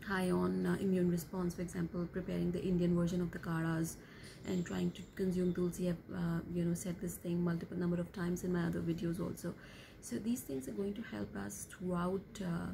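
A woman with a fairly low pitch talks at a fairly quick pace with ordinary pitch variation over light background noise. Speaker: vlogger. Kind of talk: casual vlog chat. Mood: calm, concerned. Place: home room. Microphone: phone near.

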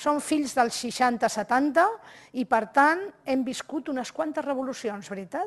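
Against a quiet background, a woman with a high pitch talks at a very slow pace. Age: 60s. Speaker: HR speaker; invited lecturer. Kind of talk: lecture. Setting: seated before live audience, filmed. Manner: animated. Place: hall. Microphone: podium.

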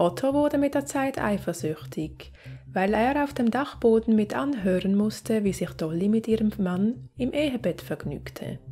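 A woman at medium pitch, at a moderate pace, with very wide swings in pitch. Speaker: true crime narrator. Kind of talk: true-crime storytelling narration. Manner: measured, suspenseful storyteller; conversational, directly addressing viewers.

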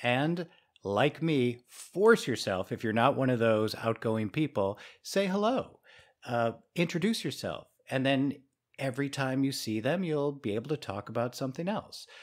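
In a very clean recording with a silent background, a man with a plain, everyday voice speaks at a moderate pace, at a medium pitch and with lively intonation. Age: 50s. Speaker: podcast co-host. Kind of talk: casual podcast conversation.

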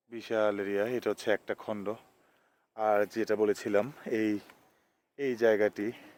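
On a very clean recording with a silent background, a man speaks in monotone, flat intonation with a dry, close sound and no echo. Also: fairly low pitch for a man. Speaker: vlogger. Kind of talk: vlog walking tour narration. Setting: outdoors in village fields.

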